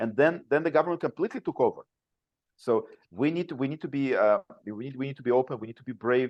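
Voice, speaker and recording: Speaking very fast with a non-native accent, a man uses a fairly high pitch. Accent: foreign. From Soviet Union. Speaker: father's rights activist, former attorney. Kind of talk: podcast interview. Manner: halting, many repetitions and fillers.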